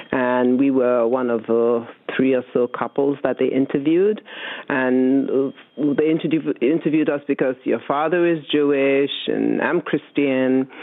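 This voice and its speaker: A woman's very deep, low voice with fairly even intonation and very even loudness. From West Africa. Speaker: host's mother. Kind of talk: interview.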